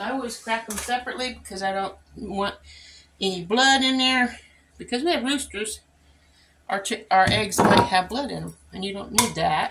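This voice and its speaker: Over noticeable background noise, a woman with a fairly high pitch speaks at a moderate pace, with ordinary pitch variation and big swings in loudness. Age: 60s. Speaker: home cooking vlogger. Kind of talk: cooking tutorial. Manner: casual, chatty.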